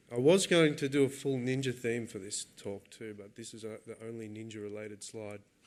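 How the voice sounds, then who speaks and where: A man with an Australian accent at a medium pitch and a fairly quick pace, hardly any pauses, ordinary pitch variation and big swings in loudness. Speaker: software developer giving a conference talk. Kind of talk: technical talk. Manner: casual with frequent fillers and repetitions.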